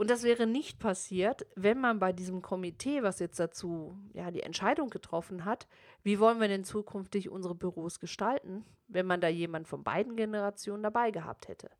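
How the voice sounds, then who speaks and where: A woman talks at a moderate pace and medium pitch with ordinary pitch variation. The recording is very clean with a silent background. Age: 40s. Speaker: podcast host and business coach. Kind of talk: solo business podcast talk. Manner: formal.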